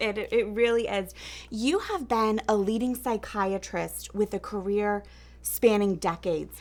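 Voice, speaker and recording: On a very clean recording with a silent background, a woman speaks at medium pitch in a plain, everyday voice. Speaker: TV news host. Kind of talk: TV interview questions.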